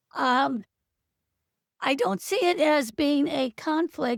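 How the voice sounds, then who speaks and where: A woman at a very slow pace, in a dry, close sound with no echo. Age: 70s. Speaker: participant, retired poet. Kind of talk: Q&A participant. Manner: halting.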